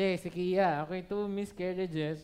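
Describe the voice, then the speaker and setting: A man's high-pitched voice shows ordinary pitch variation. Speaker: pastor. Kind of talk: sermon. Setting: church service, livestreamed. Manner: casual Taglish code-switching.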